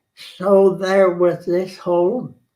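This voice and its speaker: A man with an American accent and a dark, mellow tone. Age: 90s. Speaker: historian. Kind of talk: interview.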